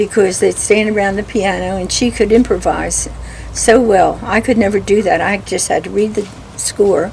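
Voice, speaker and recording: Noticeable background noise runs behind speech at a moderate pace. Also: woman. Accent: American. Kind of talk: interview answer.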